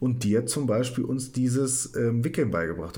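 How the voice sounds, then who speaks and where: There is audible room echo. A man speaks at medium pitch. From northern Germany. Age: 30s. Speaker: psychiatric nurse. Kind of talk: casual chat, storytelling.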